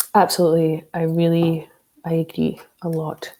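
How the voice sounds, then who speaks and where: With a Scottish accent, a woman speaks at a fairly low pitch in a dark, mellow tone. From Scotland, working-class town. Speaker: security professional, social engineer, author. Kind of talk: interview.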